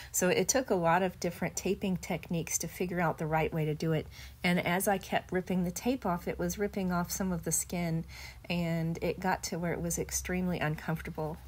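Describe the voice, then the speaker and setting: A woman with a fairly low pitch and vocal fry speaks at a fairly quick pace, her intonation fairly even. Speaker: video blogger sharing illness journey. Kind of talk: personal testimony narration.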